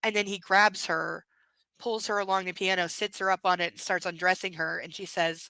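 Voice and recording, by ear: Reading aloud in a natural voice, the speaker keeps a fairly even intonation over a quiet background.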